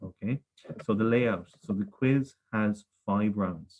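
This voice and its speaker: A man with a Galway accent speaks at a fairly low pitch, the sound dry and close with no echo. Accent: rural west of Ireland (Galway), noticeable. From Ireland, Galway. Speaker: primary school teacher, quiz master. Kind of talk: quiz presentation for children. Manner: friendly, measured, frequent 'okay' fillers.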